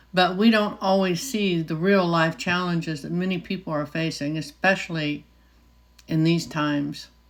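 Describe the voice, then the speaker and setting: A woman with an American accent has a normal speaking voice, fairly low in pitch with ordinary pitch variation. She talks at a moderate pace in a very clean recording with a silent background. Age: 60s. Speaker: nurse. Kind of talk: casual talk to camera.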